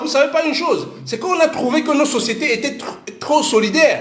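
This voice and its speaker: Speaking fairly slowly in an animated tone, a man with a Cameroonian accent is heard with audible room echo. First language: Bassa (speaking French). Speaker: parent and commentator. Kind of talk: casual monologue. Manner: halting.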